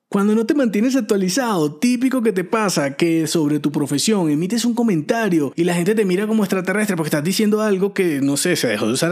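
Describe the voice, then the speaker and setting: A man speaks fairly quickly in a high voice. His pitch swings very widely. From Venezuela, llanos region. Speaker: personal branding podcaster. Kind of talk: solo podcast monologue.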